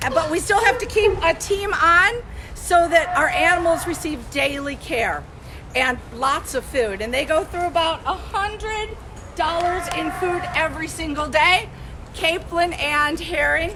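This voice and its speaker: The voice is raised and projected, with lively intonation at a fairly slow pace. The room echo is audible, and background noise is noticeable. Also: woman, extremely high pitch for a woman. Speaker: animal educator. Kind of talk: virtual field trip presentation. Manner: loud; animated.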